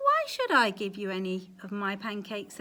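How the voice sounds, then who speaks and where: In a put-on character voice, a woman talks at a moderate pace and medium pitch. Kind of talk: bedtime story. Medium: read story. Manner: polite, mild.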